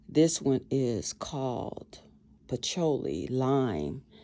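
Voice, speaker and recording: Noticeable background noise fills the recording. Over it, a woman talks with ordinary pitch variation. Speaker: craft and lifestyle vlogger. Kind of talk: casual tutorial vlog. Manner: conversational, rambling pace with fillers.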